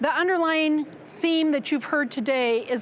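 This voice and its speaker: A woman with a Midwestern American accent and lively intonation, amid audible room echo. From US Midwest, Nebraska. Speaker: former educator, business development manager. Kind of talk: conference presentation. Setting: conference stage with audience. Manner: projecting teacher voice.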